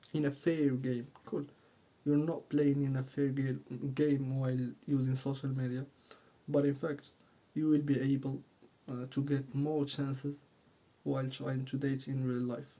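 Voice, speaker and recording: With a non-native accent, a man talks in a dark, mellow tone at a fairly high pitch, his intonation monotone and flat, with long, frequent pauses. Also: moderate pace. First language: not English. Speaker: dating coach YouTuber. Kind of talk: casual talk to camera. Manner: halting, many fillers.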